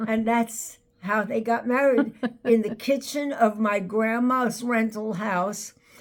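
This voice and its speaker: Speaking very slowly in a New York accent, a woman holds a fairly high pitch and fairly even intonation. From Brooklyn, New York. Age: 90s. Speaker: elder sharing life stories. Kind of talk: interview. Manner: halting.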